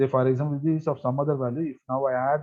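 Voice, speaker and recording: A man speaks here. His pitch sits fairly high for a man. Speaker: engineering instructor. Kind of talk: software tutorial lecture. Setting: class session. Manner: hesitant, many fillers; fast.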